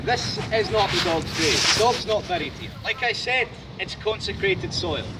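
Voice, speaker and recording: A loud man with a high pitch talks at a fairly quick pace over noticeable background noise. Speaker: tour guide. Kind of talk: guided tour talk. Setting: outdoors in a graveyard.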